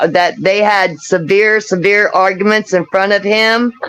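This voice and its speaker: Over noticeable background noise, a woman speaks fairly slowly at a medium pitch with monotone, flat intonation. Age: 60s. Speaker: missing woman's sister. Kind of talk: live stream interview. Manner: halting.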